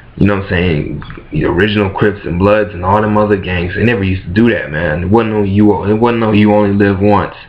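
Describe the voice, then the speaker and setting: A man speaks at a very fast pace in a fairly low pitch, with hardly any pauses. Audible room echo and noticeable background noise are present. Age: 20s. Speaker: vlogger. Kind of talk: casual rant to camera. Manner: animated.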